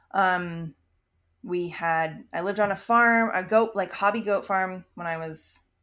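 A woman speaks at a medium pitch with an American accent and ordinary pitch variation. Hers is a normal speaking voice, in a very clean recording with a silent background. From Maryland, US. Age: 30s. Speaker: podcast co-host, mother. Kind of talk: casual chat.

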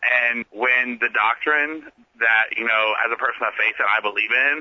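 A man speaks with an American accent at a medium pitch. His intonation is flat and monotone, at a moderate pace. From US Midwest, rural southern Ohio. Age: 20s. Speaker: student activist. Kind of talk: interview. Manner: halting, many fillers.

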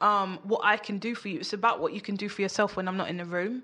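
A woman with a London accent, fairly quick, with ordinary pitch variation. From London (Peckham). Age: 30s. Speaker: entrepreneur. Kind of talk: casual chat. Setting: studio.

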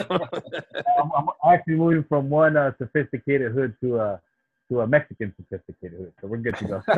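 This man talks at a moderate pace with lively intonation, a somewhat breathy quality, big swings in loudness and hardly any pauses. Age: 40s. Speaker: podcast co-host. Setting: home video call.

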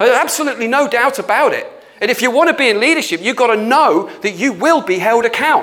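Noticeable background noise surrounds a man who talks at a very fast pace with an extremely high pitch. His intonation is lively and his loudness very even. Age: 50s. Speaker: church leader / pastor. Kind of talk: sermon / teaching talk. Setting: prayer studio. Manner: halting, with many fillers.

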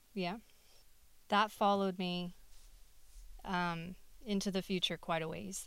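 With an American accent, a woman speaks at a fairly slow pace in a medium pitch and monotone, flat intonation, leaving long, frequent pauses. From Texas. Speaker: podcast guest. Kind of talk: casual chat.

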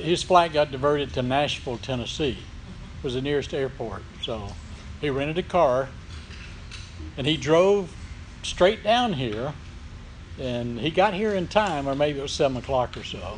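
A man's fairly high voice at a moderate pace with ordinary pitch variation. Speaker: church host introducing speaker. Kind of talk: introduction at church meeting.

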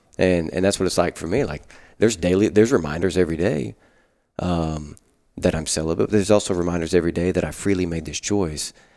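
In a very clean recording with a silent background, a man with an Arkansas accent and a dark, mellow tone talks at a very fast pace, his very deep, low pitch showing ordinary variation. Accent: Southern US (Arkansas). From US South, Arkansas Delta. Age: 30s. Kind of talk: casual chat. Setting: rectory.

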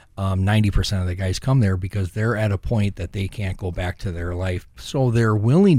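In an American accent, a man speaks at a fairly low pitch with a dark, mellow tone. He sounds somewhat breathy on a very clean recording with a silent background. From US Midwest, Saint Paul, Minnesota. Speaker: former prisoner, ministry director. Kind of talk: interview testimony.

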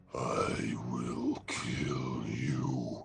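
A man puts on a character voice that is guttural and raspy, with a very deep, low pitch. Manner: menacing, intense.

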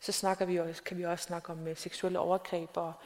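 Her voice fairly low in pitch, a woman speaks in a flat, monotone way. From South Greenland, small town. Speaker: novelist. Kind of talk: onstage interview. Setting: stage with audience. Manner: halting, many fillers.

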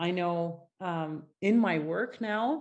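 A woman speaks in a French-Canadian accent with ordinary pitch variation. The background is quiet. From Quebec, Gatineau (Ottawa area). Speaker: artist. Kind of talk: interview.

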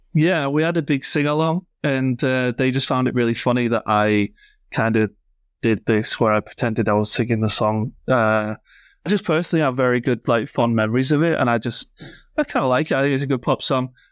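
A fairly quick voice with a Yorkshire accent, very even loudness, a dry, close sound with no echo, and a very clean recording with a silent background. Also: man, medium pitch for a man, ordinary pitch variation. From northern England. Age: 30s. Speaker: podcast co-host. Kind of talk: casual chat.

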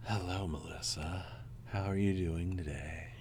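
Over clear background noise, someone talks at a moderate pace in a put-on character voice. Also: man. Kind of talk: slow, overly polite. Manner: smooth, mysterious.

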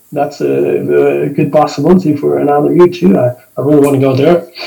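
A fairly high-pitched man's voice with a Spanish accent. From Argentina, northern Patagonia. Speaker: ski instructor and medical doctor. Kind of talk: interview conversation. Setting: remote call. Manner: halting.

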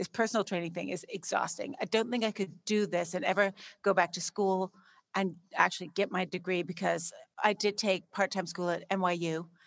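A woman in a normal speaking voice at medium pitch, moderate pace and ordinary pitch variation, on a very clean recording with a silent background. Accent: Canadian. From Canada, Saskatchewan. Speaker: entrepreneur. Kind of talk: interview.

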